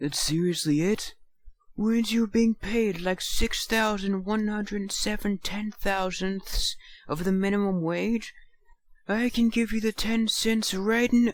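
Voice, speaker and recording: Someone uses a put-on character voice, fairly high in pitch and at a fairly slow pace. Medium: read story.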